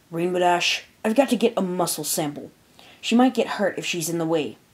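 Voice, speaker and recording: A woman in a put-on character voice, raspy and at medium pitch, with a fairly quick pace. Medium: read story. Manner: clinical, matter-of-fact.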